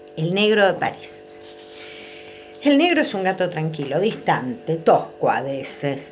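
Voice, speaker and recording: Music plays in the background as a woman speaks at a medium pitch. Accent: Argentine. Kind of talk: children's story reading.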